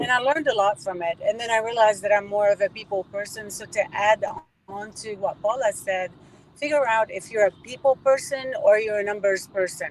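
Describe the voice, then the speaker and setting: A woman talks at a fairly quick pace with a fairly high pitch and ordinary pitch variation. Her loudness swings widely, and the sound is dry and close with no echo. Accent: non-native. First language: not English. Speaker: event organizer and businesswoman. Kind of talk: casual chat.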